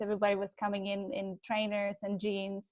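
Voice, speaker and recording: A woman's medium-pitched voice with a Czech accent. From Czech Republic. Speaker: digital advertising professional. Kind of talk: panel discussion.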